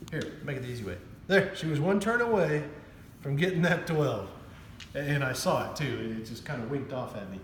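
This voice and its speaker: A man is shouting loudly at a fairly quick pace, with very wide pitch swings. Room echo is audible, along with noticeable background noise. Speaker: craps channel host playing dealer. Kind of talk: casual game commentary. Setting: at home. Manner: loud, half-yelling; animated.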